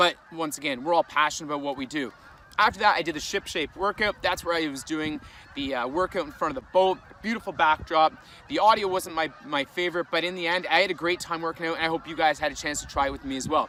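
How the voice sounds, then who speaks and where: Very fast speech in a Canadian accent with ordinary pitch variation. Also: man, fairly high pitch for a man. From Canada. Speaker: vlogger and fitness content creator. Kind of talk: casual vlog talk to camera.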